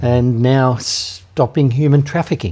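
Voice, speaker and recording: Over noticeable background noise, a man with an Australian accent talks at a medium pitch. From Australia, Hunter Valley NSW. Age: 70s. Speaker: anti-trafficking charity leader. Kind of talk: interview conversation. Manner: hesitant, many fillers.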